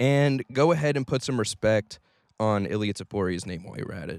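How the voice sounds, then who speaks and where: Spoken at a fairly quick pace with an animated tone, this voice swings very widely in pitch, recorded dry and close with no echo. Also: man. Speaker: MMA commentary youtuber. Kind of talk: casual vlog rant.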